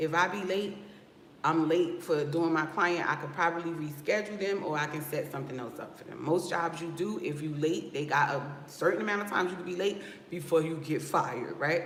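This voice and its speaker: In an American accent, an animated voice moves at a fairly quick pace over noticeable background noise. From New Jersey. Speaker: loctician and business coach. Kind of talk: livestream talk to viewers.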